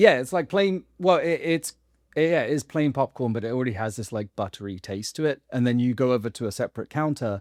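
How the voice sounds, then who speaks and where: Talking at a fairly quick pace, a man uses lively intonation at a medium pitch. The recording is very clean, with a silent background. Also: dry, close sound with no echo. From England. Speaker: actor, podcast guest. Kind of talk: casual chat.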